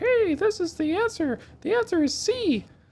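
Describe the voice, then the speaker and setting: Pitched extremely high, this put-on character voice moves at a moderate pace. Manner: whispering.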